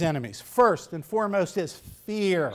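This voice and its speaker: The speaker is a man with lively intonation. The background is quiet. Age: 60s. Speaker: guest speaker, attorney. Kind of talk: speech. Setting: high school honor society ceremony, audience. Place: hall. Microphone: podium.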